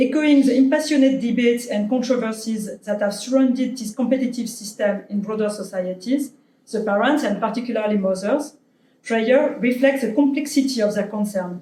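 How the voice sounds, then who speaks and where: A woman with a French accent speaks at a fairly quick pace in a fairly high pitch, her tone dark and mellow and her pitch variation ordinary. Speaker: anthropologist, invited lecturer. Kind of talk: academic lecture; reading conclusion from slide. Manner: halting, many fillers.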